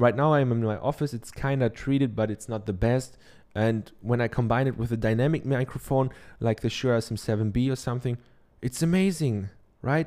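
Recorded very cleanly against a silent background, a man with a German accent speaks fairly quickly in a dark, mellow tone at a medium pitch with ordinary pitch variation. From Germany. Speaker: podcast host and online course teacher. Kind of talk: solo podcast monologue, tutorial-style advice. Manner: filler-heavy, halting with many ums.

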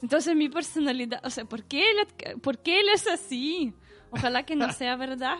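A woman's high voice in a Russian accent, moderate pace and lively intonation, with music in the background. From Russia, Saint Petersburg. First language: Russian (speaking Spanish). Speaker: podcast listener guest. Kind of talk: casual chat.

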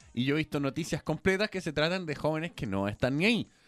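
A man with a Chilean accent at a fairly high pitch, very fast pace and lively intonation, with a dry, close sound with no echo. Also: quiet background. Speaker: radio host. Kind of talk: casual chat.

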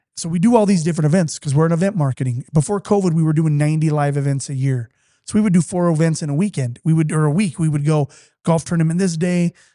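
A man speaks very fast with an American accent, his pitch fairly high and his tone dark and mellow. His pitch varies in an ordinary way, and the sound is dry and close with no echo against a quiet background. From Utah. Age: 40s. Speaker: company executive. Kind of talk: casual chat. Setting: studio.

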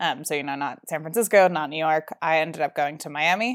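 Recorded very cleanly with a silent background and a dry, close sound with no echo, a woman with an American accent speaks in an ordinary speaking voice at a fairly low pitch, with ordinary pitch variation. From New Jersey. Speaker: startup founder. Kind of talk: interview.

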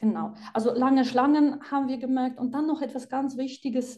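A woman with a Polish accent speaks at a high pitch in a dark, mellow tone. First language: Polish (speaking German). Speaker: psychiatrist and author. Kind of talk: interview.

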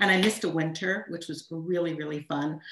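A woman speaks in a Montreal accent. Her pitch is fairly low, with ordinary variation. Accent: Canadian (Montreal) English. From Montreal, Canada. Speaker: ghostwriter and storytelling coach. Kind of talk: personal story in interview.

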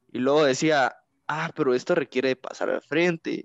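Fairly high pitch for a man, varying in an ordinary way. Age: 20s. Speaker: engineering student and youth church leader. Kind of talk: interview. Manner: hesitant, many fillers.

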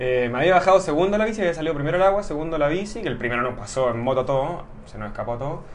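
Amid noticeable background noise and audible room echo, a man talks very fast with lively intonation. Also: fairly high pitch for a man, hardly any pauses. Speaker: amateur triathlete. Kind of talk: interview.

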